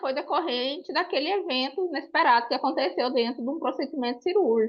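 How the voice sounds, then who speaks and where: Her pitch is high for a woman. She speaks with very wide pitch swings. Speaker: student. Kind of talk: question from audience.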